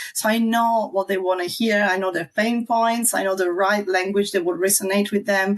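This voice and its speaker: This woman has an Italian accent, a medium pitch and ordinary pitch variation. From southern Italy. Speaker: marketing strategist. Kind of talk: online video interview.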